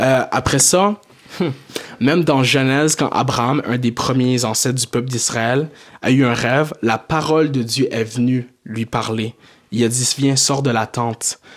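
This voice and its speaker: An ordinary speaking voice from a man, medium in pitch, fairly slow in pace, with fairly even intonation. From Quebec, Montreal area, Haitian family. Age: 20s. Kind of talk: casual chat.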